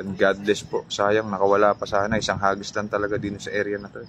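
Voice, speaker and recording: A man speaks quietly and fairly quickly. His pitch is fairly low. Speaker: fishing vlogger. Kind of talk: live stream chat with viewer shoutouts. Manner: speaking quietly; animated.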